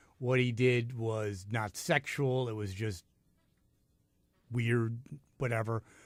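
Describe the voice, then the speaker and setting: Delivered at a very slow pace with long, frequent pauses, the speech has fairly even intonation in a very clean recording with a silent background. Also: man, medium pitch for a man. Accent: American. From New York City. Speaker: radio host. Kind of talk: talk radio discussion. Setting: radio studio.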